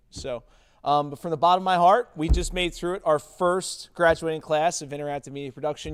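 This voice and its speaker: A man speaks at a fairly high pitch with fairly even intonation. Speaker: teacher. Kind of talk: closing remarks at school event. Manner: loud.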